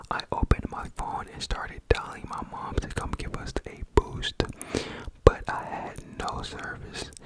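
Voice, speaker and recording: The whisper moves at a fairly slow pace, with noticeable noise in the background. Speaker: ASMR creator. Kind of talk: ASMR scary story reading. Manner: whispered.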